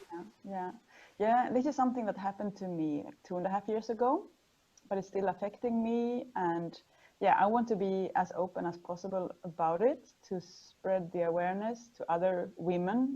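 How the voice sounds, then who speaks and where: The woman's tone is dark and mellow, her pitch medium. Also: ordinary pitch variation, moderate pace. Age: 40s. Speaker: sustainability strategist. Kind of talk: personal testimony in interview.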